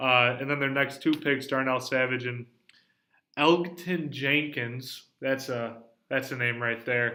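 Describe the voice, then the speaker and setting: Bright and sharp in tone, a man's medium-pitched voice moves at a fairly slow pace. The intonation is fairly even. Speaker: sports podcast host. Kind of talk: casual sports discussion. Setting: library. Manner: quiet.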